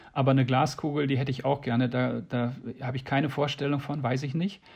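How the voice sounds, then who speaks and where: A man talks at a fairly quick pace in a monotone, flat delivery. His voice is somewhat breathy. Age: old. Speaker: animal welfare association founder. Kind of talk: interview.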